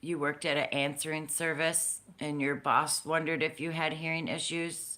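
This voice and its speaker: Loud and bright, a woman's very deep, low voice with a sharp tone holds a monotone, flat intonation at a moderate pace in a very clean recording with a silent background. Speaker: crafting livestream host. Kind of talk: casual chat.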